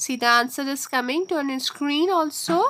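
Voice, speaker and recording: A woman projects her voice in a high pitch with a bright, sharp tone. Her pitch varies in an ordinary way. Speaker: maths teacher. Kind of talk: lecture. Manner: slow.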